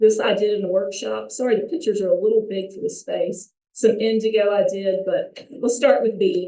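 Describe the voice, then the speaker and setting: A woman talks with a North Alabama accent. Her pitch sits fairly high. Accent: Southern US (North Alabama), noticeable. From US South, North Alabama. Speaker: artist and high school art teacher, vendor. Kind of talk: informal presentation to audience.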